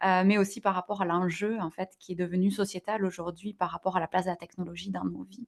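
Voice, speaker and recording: Recorded with a dry, close sound and no echo, a woman with a slight southwestern French accent speaks fairly quickly at a medium pitch, in a monotone, flat way with hardly any pauses. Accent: slight southwest French. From southwest France, near Toulouse. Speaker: digital wellbeing entrepreneur. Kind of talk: podcast interview. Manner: hesitant, many fillers.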